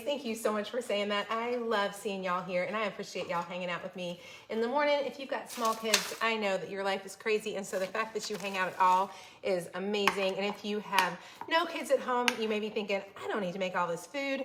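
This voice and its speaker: With an American accent, a woman talks at a fairly quick pace in a fairly high voice, with noticeable background noise. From Florida. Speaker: cooking channel host. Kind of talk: live-streamed cooking tutorial and chat with viewers. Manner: fast; animated.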